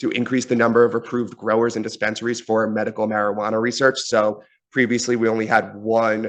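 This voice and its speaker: Fairly quick, monotone, flat speech from a man at a medium pitch, over a quiet background. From New York. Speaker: university government relations officer. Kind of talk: presentation. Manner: fast.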